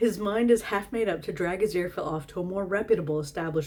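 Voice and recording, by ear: Someone is reading aloud in a natural voice. The delivery is plain.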